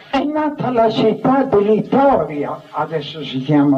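A man speaking at a very slow pace over noticeable background noise. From Lazio, Italy. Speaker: Carmelite friar, former military chaplain. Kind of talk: public reading from his own biography. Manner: declamatory, rhetorical.

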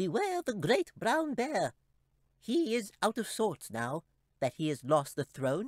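In a put-on character voice, the speaker squeaks along at a fairly slow pace in a fairly high pitch with very wide pitch swings.

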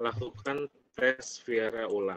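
At a very slow pace, a man talks. His pitch shows ordinary variation. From Indonesia. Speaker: presenter. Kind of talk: webinar Q&A. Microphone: video call.

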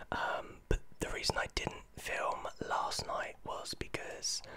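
Very slowly, a man speaks in a whisper. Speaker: vlogger. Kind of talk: casual vlog chat. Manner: soft, hushed close-mic speech. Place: home room. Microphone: studio mic.

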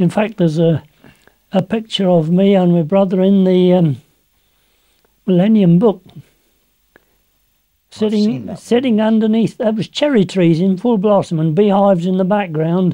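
A high-pitched man's voice with a dark, mellow tone, ordinary pitch variation and long, frequent pauses, over a quiet background. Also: moderate pace, very even loudness. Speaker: interviewee. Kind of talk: interview answer. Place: home room. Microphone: lapel.

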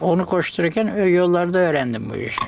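A man's high-pitched voice at a moderate pace, with noticeable background noise and audible room echo. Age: 80s+. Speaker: craftsman. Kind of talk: casual interview. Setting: small workshop.

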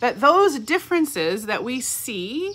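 Speaking with an American accent, a woman has a high-pitched voice. Her pitch swings very widely. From California. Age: 40s. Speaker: pastor. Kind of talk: reflective devotional talk. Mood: warm, reflective. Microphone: phone near.

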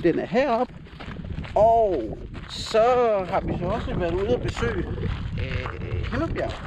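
A man's fairly slow voice, dry with no echo, over noticeable background noise. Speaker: travel vlogger. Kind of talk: casual vlog chat. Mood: cheerful, joking. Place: open country. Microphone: phone near.

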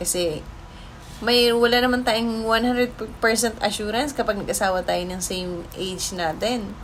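Over noticeable background noise and audible room echo, a woman speaks fairly slowly with ordinary pitch variation. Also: fairly high pitch for a woman. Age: 40s. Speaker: vlogger. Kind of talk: personal storytelling vlog. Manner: casual, chatty.

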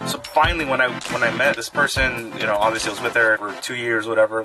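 With clear music behind him, a man talks at a very fast pace. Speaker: vlogger. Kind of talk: casual vlog chat. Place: home room. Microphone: phone near.

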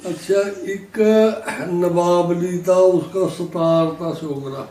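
Amid noticeable background noise and audible room echo, a man speaks in a high pitch with monotone, flat intonation. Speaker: partition witness. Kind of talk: oral history interview.

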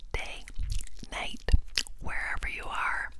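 Someone is whispering over light background noise. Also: woman. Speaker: ASMR creator. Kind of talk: ASMR whispered trigger words. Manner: crisp close-mic ASMR whisper. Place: home room. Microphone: lapel.

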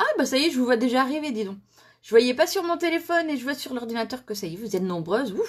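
A woman talks at a fairly quick pace with a high pitch. Her voice makes very wide pitch swings against a quiet background. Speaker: crafting demonstrator hosting a live stream. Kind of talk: casual live-stream chat. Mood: cheerful, laughing. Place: home room. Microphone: phone near.

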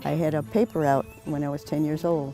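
Delivered at a fairly quick pace with lively intonation, the speech has a dry sound with no echo and clear music in the background. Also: woman. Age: 80s+. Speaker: senior track and field athlete. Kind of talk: interview answer. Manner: hesitant, with frequent fillers. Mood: reflective, moved when speaking of husband. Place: stadium. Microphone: lapel.

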